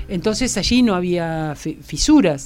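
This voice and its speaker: The voice carries vocal fry and lively intonation. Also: woman. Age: 60s. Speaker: philosopher and gender advocate. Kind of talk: interview.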